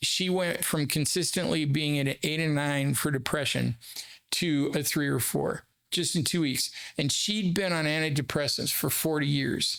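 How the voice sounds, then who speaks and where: Here is a man with an ordinary speaking voice and a fairly high pitch. His pitch variation is ordinary, his loudness very even and his pace moderate. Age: 60s. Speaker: therapist. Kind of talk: casual chat. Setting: studio.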